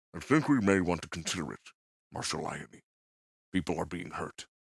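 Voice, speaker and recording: A man speaks in a put-on character voice. His pitch is very deep and low, and his pace is moderate. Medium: read story. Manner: earnest, gentle.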